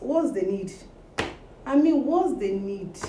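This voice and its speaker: An animated, moderately paced voice with very wide pitch swings and audible room echo. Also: woman. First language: not English. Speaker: social media personality. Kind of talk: casual vlog monologue.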